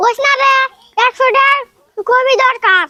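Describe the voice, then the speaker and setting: In a put-on character voice, a man sounds squeaky at an extremely high pitch and keeps a moderate pace. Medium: short film. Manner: rural dialect, scheming.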